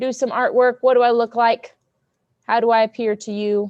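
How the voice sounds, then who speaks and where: Loud and animated, a woman with a fairly high pitch speaks at a moderate pace, the sound dry and close with no echo over a quiet background. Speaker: teacher. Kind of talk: lesson to students.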